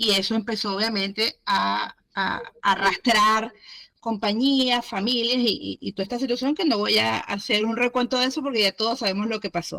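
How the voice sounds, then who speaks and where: A bright, sharp tone at a moderate pace, with fairly even intonation and a dry, close sound with no echo. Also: woman, fairly high pitch for a woman. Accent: Venezuelan. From Venezuela. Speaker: entrepreneur, business owner. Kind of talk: interview.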